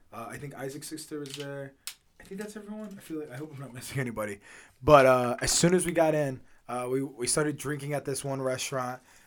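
At a very fast pace, a man with a fairly high pitch speaks with ordinary pitch variation and big swings in loudness. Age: 20s. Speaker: podcast host. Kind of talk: casual chat.

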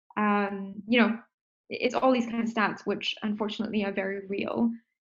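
Her voice somewhat breathy, a woman speaks at medium pitch and a moderate pace with monotone, flat intonation. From Singapore, Indian heritage. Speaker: startup founder. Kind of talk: interview.

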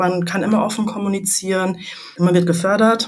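A woman speaks in a flat, monotone way with some breathiness. There is audible echo from the room. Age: 20s. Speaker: management consultant. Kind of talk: interview.

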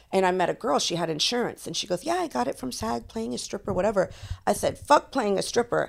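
A woman speaks at a very fast pace with vocal fry. Her pitch swings very widely. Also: medium pitch for a woman. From Florida (Tampa area), of Cuban and Puerto Rican parents. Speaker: adult industry veteran, former stripper. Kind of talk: casual chat.

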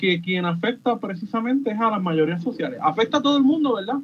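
A man is speaking. His intonation is lively. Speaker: podcaster, political commentator. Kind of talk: radio panel discussion.

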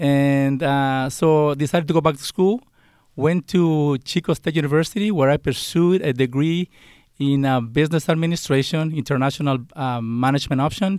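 A man with a Spanish accent talks at a moderate pace, his fairly high pitch showing ordinary variation and very even loudness. The sound is dry and close with no echo, on a very clean recording with a silent background. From Mexico. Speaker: college dean. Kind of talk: interview.

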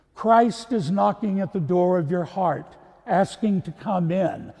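His voice pitched high, a man talks with ordinary variation in pitch. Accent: American. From Texas. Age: 70s. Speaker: priest. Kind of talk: sermon. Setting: church.

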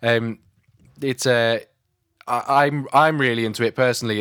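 With a British accent, the speaker talks at a moderate pace and with fairly even intonation on a very clean recording with a silent background. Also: man. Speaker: podcast host; drummer and recording engineer. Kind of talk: casual interview chat.

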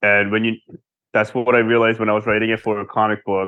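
A man with an American accent, fast pace, fairly low pitch and little pitch movement.

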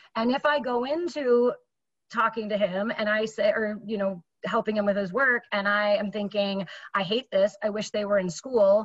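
An energetic, somewhat breathy woman's voice, fairly high in pitch, with an American accent, ordinary pitch variation and a moderate pace. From Minnesota, US. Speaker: fitness entrepreneur. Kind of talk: interview conversation.

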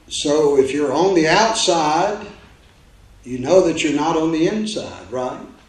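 Audible room echo and noticeable background noise surround this man's speech. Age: 60s. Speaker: pastor. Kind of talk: sermon. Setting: church.

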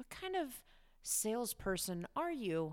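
A woman's warm tone with very wide pitch swings, in a very clean recording with a silent background. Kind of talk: guided meditation. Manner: warm, encouraging, lightly chatty, with occasional laughs.

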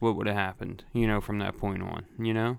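Here a man with a Philadelphia accent talks at a fairly quick pace and medium pitch. The recording is very clean, the background silent. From Philadelphia, Grays Ferry. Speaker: podcast co-host. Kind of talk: casual chat.

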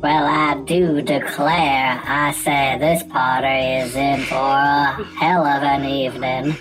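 Under loud background noise, a put-on character voice in a low-to-middle pitch talks at a fairly slow pace with hardly any pauses. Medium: actual play.

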